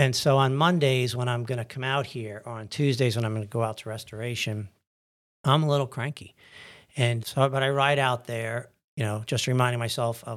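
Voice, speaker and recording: Speaking fairly quickly, a man with a plain, everyday voice keeps a medium pitch and fairly even intonation. The recording is very clean, with a silent background. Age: 60s. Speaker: anesthesiologist and church deacon. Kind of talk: interview about faith journey.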